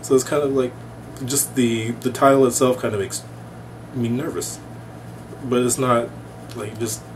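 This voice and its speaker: Noticeable background noise fills the clip. The voice belongs to a man. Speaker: MBA student vlogger. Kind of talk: casual vlog chat. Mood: relaxed, amused. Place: home room. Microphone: webcam.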